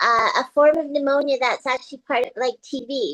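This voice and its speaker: A woman's high voice has a bright, sharp tone at a moderate pace, sounding dry and close with no echo. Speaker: painter and performance artist. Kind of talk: casual interview chat. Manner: hesitant, many fillers.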